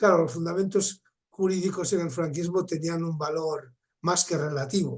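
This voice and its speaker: With a high pitch and fairly even intonation, a man is talking. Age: 70s. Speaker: participant in a videoconference. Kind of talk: discussion contribution. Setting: video call.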